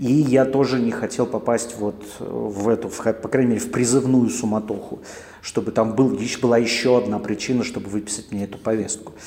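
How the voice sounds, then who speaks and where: At a fairly quick pace, a man speaks with fairly even intonation at a medium pitch. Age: 40s. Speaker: podcaster. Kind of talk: casual monologue. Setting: coworking space.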